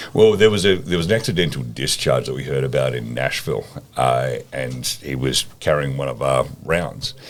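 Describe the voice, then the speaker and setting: A man with an Australian accent, very deep and low in pitch, lively intonation, noticeable background noise. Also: moderate pace. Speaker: ammunition company co-founder and COO. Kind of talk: podcast interview answer.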